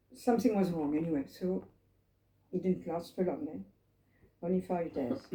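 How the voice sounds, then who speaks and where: This voice has a dark, mellow tone with vocal fry and lively intonation. It moves at a moderate pace, broken by long, frequent pauses. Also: woman, fairly low pitch for a woman. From France, Paris. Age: 80s+. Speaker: Holocaust survivor. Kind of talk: testimony. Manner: halting.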